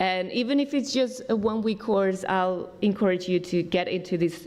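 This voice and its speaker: Noticeable background noise is present throughout. The talking is fairly slow, with ordinary pitch variation. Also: woman. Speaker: summer school staff member. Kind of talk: orientation briefing.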